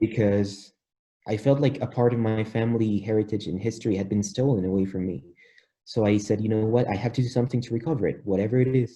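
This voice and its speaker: In a Spanish accent, a man talks at a very fast pace in a fairly low, somewhat breathy voice with a dark, mellow tone and fairly even intonation. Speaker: polyglot, language learner. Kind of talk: interview.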